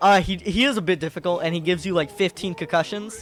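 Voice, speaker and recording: At a fairly quick pace, a man talks with a high pitch. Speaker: gaming YouTuber. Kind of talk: casual commentary. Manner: fast; halting.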